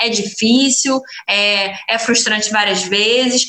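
A woman with a high pitch speaks in an animated tone over noticeable background noise. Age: 20s. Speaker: restaurant owner. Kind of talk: interview.

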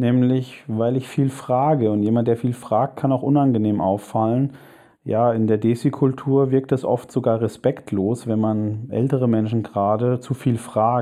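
A man's plain, everyday voice at medium pitch, fairly slow and fairly even in intonation, with very even loudness. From Germany. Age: 30s. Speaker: convert to Islam, listener. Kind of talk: recorded voice message. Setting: self-recorded audio message.

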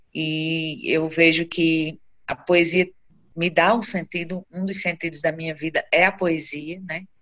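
At a fairly slow pace, a woman talks in a fairly low voice with a bright, sharp tone. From Brazil, Seridó region of Rio Grande do Norte (Currais Novos). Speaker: poet and researcher. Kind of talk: interview.

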